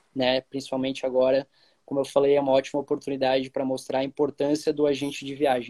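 With a dry, close sound and no echo, a man speaks at a fairly quick pace in a dark, mellow tone, medium in pitch with monotone, flat intonation. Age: 20s. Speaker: travel agency marketer and podcast host. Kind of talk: casual interview chat. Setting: Instagram live.

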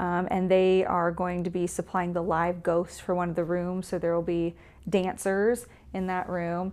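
A woman with a Southern US accent speaks at a moderate pace. Her pitch sits in the medium range. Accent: Southern US (Georgia). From Georgia, US South (Newnan). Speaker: museum director. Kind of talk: casual interview.

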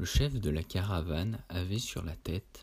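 A man speaks in a very deep, low voice with a somewhat breathy quality, at a fairly slow pace. The recording is very clean, with a silent background. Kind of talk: literary audiobook reading of Lovecraft tales, solemn gothic narration. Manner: slow, measured and formal, with a dreamy, hushed storyteller's cadence; grave and atmospheric, lingering on long sentences with a somber tone.

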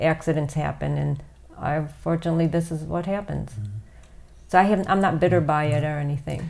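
In an American accent, a woman with a very deep, low pitch speaks at a fairly quick pace. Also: ordinary pitch variation. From Toledo, Ohio, US Midwest. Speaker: ultra distance runner. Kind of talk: casual interview.

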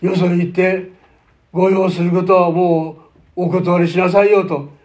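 A man speaks at a high pitch. The room echo is audible. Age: 90s. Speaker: pastor. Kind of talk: sermon.

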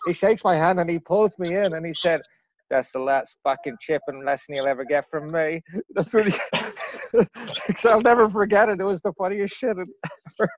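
A high-pitched man with an Irish accent at a fairly quick pace, ordinary pitch variation, in a dry, close sound with no echo. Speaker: podcast host. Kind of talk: casual chat.

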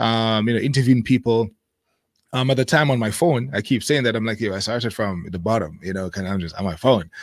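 The speaker talks at a very fast pace with ordinary pitch variation. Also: man, very clean recording, silent background. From Jamaica. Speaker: YouTube creator living in Japan. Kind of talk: casual interview chat. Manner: fast talker.

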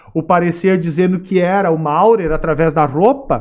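This man's voice sits high. His pitch variation is ordinary. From Sapiranga, Rio Grande do Sul, Brazil. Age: 40s. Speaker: history professor. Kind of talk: interview, lecture-like explanation. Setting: studio.

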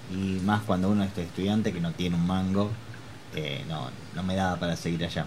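A man with a very deep, low voice talks fairly quickly and with fairly even intonation, amid audible room echo and noticeable background noise. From Argentina, Chivilcoy. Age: 30s. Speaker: amateur handball player and hairdresser. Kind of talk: interview.

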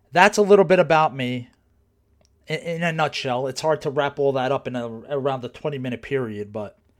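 The recording is very clean, with a silent background. A man with a New Jersey accent talks at a fairly quick pace with ordinary pitch variation. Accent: New Jersey American. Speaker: podcast host, personal trainer. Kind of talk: casual monologue. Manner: conversational, many fillers.

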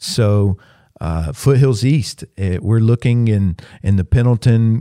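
A man with a Southern US accent speaks at a medium pitch, his tone dark and mellow, with ordinary pitch variation. The recording is very clean and dry, close-miked with no echo against a silent background. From US South, upstate South Carolina. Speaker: pastor. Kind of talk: casual interview. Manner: casual, filler-heavy.

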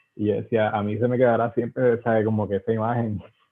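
A man's fairly low voice, monotone and flat in intonation, at a very fast pace. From western Puerto Rico. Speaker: visual artist and illustrator. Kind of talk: casual interview. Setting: podcast recording. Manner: halting, with frequent repetitions.

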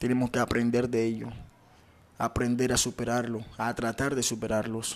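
A man speaks with a coastal Colombian accent in a monotone, flat intonation. His loudness stays very even. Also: medium pitch for a man, moderate pace. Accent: Colombian coastal (costeño) Spanish. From Caribbean coast of Colombia, Ciénaga, Magdalena. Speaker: podcaster. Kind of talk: personal reflective monologue.

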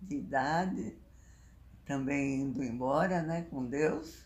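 Amid audible room echo, a woman talks very slowly in a very deep, low pitch with vocal fry and ordinary pitch variation. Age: 90s; 80s+. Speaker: interviewee, elderly woman. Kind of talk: interview. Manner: halting.

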